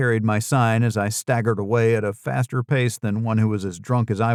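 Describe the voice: Fairly even intonation in plain reading aloud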